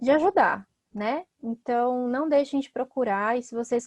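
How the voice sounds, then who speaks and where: At a fairly slow pace, a woman talks in an ordinary speaking voice with fairly even intonation, the sound dry and close with no echo. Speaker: psychologist and teacher. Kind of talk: online talk.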